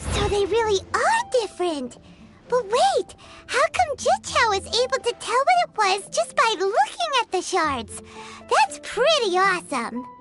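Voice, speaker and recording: An extremely high put-on character voice at a moderate pace, with clear music in the background. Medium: short film. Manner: lively, eager.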